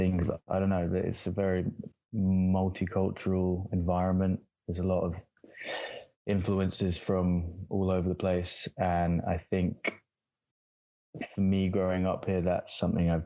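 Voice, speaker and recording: A man with a London accent speaks at a fairly slow pace in a very deep, low, monotone voice, his loudness very even, with long, frequent pauses. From Southeast London, England. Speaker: musician and visual artist. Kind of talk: interview. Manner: halting, many fillers and repeats.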